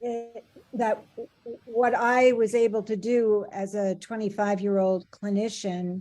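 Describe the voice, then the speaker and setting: In a dark, mellow tone, a woman speaks at a fairly slow pace with monotone, flat intonation. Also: fairly high pitch for a woman. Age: 70s. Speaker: couple therapist, presenter. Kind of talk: Q&A discussion.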